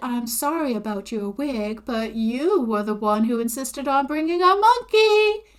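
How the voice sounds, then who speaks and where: A woman uses a put-on character voice with a high pitch and very wide pitch swings. She drawls at a moderate pace with hardly any pauses. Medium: read story. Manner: drawling, gushing.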